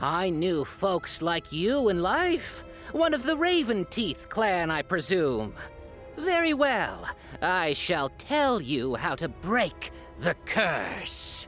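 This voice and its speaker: Putting on a character voice, a man speaks high and very slowly over clear music in the background. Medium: audio drama. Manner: formal, archaic.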